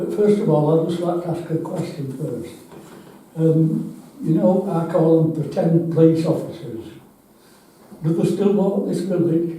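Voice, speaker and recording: Noticeable background noise and audible room echo fill the recording. A man speaks at a high pitch and a fairly slow pace. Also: ordinary pitch variation. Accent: Yorkshire. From northern England, Yorkshire (Ackworth, near Wakefield). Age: 80s+. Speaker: member of the public at a council meeting, blind resident. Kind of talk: public comment at a parish council meeting.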